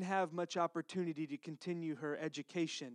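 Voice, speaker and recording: An American accent comes through in a dry, close sound with no echo. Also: man. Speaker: pastor. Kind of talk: sermon. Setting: church.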